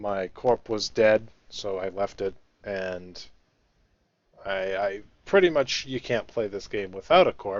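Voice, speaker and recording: At a fairly slow pace, a man speaks with a fairly low pitch and long, frequent pauses. His intonation stays fairly even. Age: 20s. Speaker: gamer streamer. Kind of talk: casual chat.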